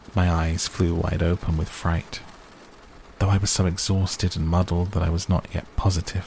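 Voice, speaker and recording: Very deep and low, a man's voice stays monotone with flat intonation. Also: long, frequent pauses. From British. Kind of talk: sleep story. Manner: soft-spoken; slow, relaxing.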